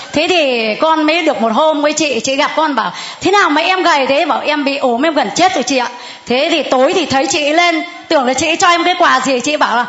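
A high-pitched woman at a fairly quick pace, with noticeable background noise and audible room echo. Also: ordinary pitch variation, very even loudness. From northern Vietnam (Hanoi area). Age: 60s. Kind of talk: testimony.

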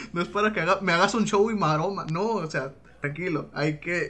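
Speaking at a moderate pace with fairly even intonation, a man uses a high voice while noticeable background noise runs underneath. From Mexico, Sinaloa. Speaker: podcast host. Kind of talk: casual chat. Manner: laughs often.

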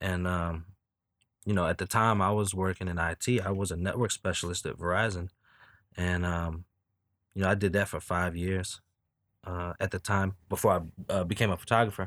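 A very deep, low-pitched man with an American accent, monotone and flat, at a moderate pace with long, frequent pauses, in a very clean recording with a silent background. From Newport News, Virginia. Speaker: photographer and filmmaker. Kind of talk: casual interview.

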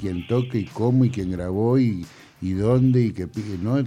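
A man's voice of medium pitch and dark, mellow tone. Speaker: sound engineer and record producer. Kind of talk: interview. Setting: studio. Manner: halting.

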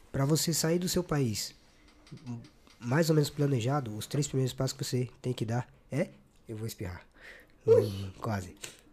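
On a very clean recording with a silent background, a man speaks at medium pitch in a somewhat breathy, dark, mellow tone with long, frequent pauses. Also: lively intonation, moderate pace. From Brazil, São Paulo. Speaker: podcast host. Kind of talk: casual interview. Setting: studio. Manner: animated.

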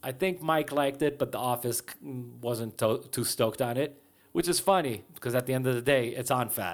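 Over a silent background in a very clean recording, a man with a plain, everyday voice and medium pitch talks at a moderate pace with ordinary pitch variation. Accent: American. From Israel, then New Jersey and Brooklyn. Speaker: punk musician. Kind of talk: interview. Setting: recording studio.

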